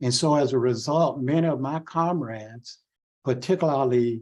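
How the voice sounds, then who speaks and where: In a Southern US accent, a man talks at a fairly slow pace with ordinary pitch variation. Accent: Southern US (Georgia). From US South, Waycross, Georgia. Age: 70s. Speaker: civil rights organization president, Vietnam veteran. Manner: halting.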